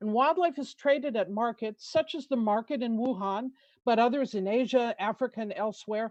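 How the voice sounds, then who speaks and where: With an American accent, a woman talks at a fairly quick pace in fairly high pitch and ordinary pitch variation, an unremarkable speaking voice, recorded dry and close with no echo against a quiet background. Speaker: conservation policy expert. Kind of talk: testimony. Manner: formal.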